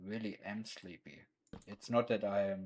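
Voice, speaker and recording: A man with a non-native accent speaks in a fairly low voice with monotone, flat intonation. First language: not English. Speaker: streamer. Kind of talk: gaming livestream commentary. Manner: halting, stumbling over words.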